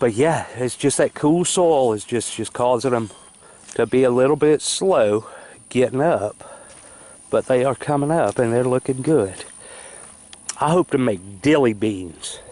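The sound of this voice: Speaking at a fairly slow pace, a man uses a medium pitch, a slightly mellow tone and lively intonation.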